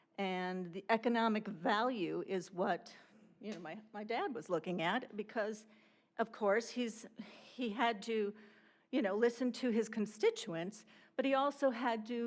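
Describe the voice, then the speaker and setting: Delivered in an American accent at a fairly slow pace, this is an unremarkable speaking voice with ordinary pitch variation. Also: woman. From Wisconsin, Port Washington. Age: 60s. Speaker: resident giving public comment. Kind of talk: public comment at council meeting.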